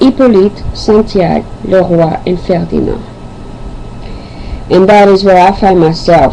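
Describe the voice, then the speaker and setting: Amid noticeable background noise, a woman with a strong non-native accent speaks at a moderate pace. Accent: thick foreign. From Haiti / Angola, lived in Africa, Europe, Caribbean. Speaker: poet and video host. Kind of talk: self-introduction then poetry reading.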